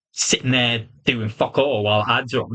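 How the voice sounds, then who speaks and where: A man with a British accent speaks at a medium pitch in a bright, sharp tone. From UK. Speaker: wrestling reviewer. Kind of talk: solo review monologue. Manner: animated.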